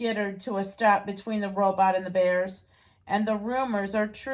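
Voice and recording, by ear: The speaker is reading aloud in a natural voice. The intonation stays fairly even.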